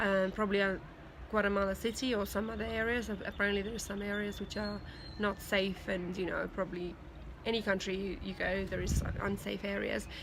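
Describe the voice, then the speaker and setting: Audible room echo surrounds a woman speaking at a medium pitch and a fairly quick pace, her intonation monotone and flat. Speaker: video blogger, language student abroad. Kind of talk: video diary. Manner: hesitant, many fillers.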